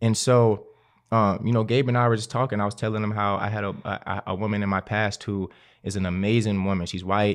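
Speaking in an American accent, a man talks fairly quickly in a fairly low pitch. His intonation is monotone and flat, and the background is quiet. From West Baltimore, US. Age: 20s. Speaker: guest. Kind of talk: casual podcast conversation.

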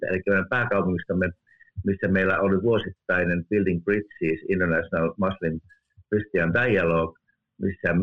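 A man's very deep, low pitch with fairly even intonation. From Finland. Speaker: theology professor. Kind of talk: interview. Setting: remote call.

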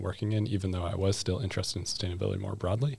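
On a very clean recording with a silent background, a man with an American accent talks at a very fast pace and a very deep, low pitch. His voice is somewhat breathy and his intonation fairly even. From US. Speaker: master's student. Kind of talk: casual chat.

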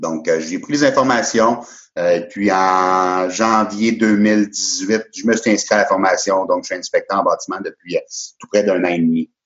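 Here a man talks at a fairly slow pace. His fairly low voice keeps a fairly even intonation. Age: 30s. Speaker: building inspector. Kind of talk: interview. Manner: hesitant, many fillers.

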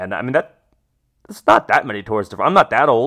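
A man talks very fast in an animated tone. His voice has vocal fry. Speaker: podcast host. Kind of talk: casual chat.

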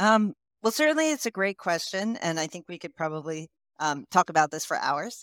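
A woman with an American accent and a plain, everyday voice speaks at a fairly quick pace with fairly low pitch, lively intonation and big swings in loudness, in a dry, close sound with no echo. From United States. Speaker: clinical research company CEO. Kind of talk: interview.

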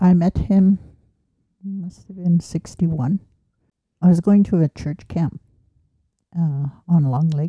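A woman speaks at a very slow pace with long, frequent pauses, her fairly low, somewhat breathy voice dark and mellow in tone, her intonation fairly even, and the sound dry and close with no echo.

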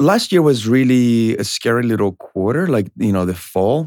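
Recorded very cleanly against a silent background with a dry, close sound and no echo, a man with a Spanish accent speaks at a moderate pace and medium pitch. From Colombia. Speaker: realtor. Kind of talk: casual interview.

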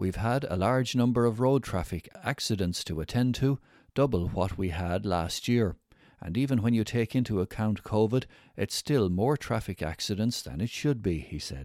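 An ordinary speaking voice from a man, fairly low in pitch, moves at a moderate pace with lively intonation on a very clean recording with a silent background. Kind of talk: news reading. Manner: formal, even-paced, neutral read-aloud delivery.

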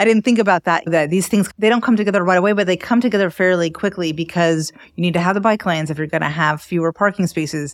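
A woman with an American accent talks at a very fast pace, with hardly any pauses and ordinary pitch variation. Her fairly low pitch comes through a very clean recording with a silent background. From Miami, Florida. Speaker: podcast co-host, brand consultant and writer. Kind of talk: interview.

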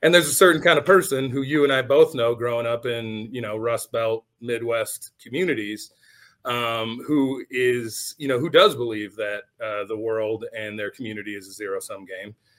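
An unremarkable speaking voice from a man with an American accent, medium in pitch with ordinary pitch variation, at a moderate pace with hardly any pauses and big swings in loudness. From Michigan. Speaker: podcast host. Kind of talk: casual chat.

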